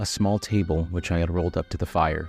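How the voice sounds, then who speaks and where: Speech moves at a fairly quick pace with music in the background. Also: man. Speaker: voice actor. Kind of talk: audiobook narration.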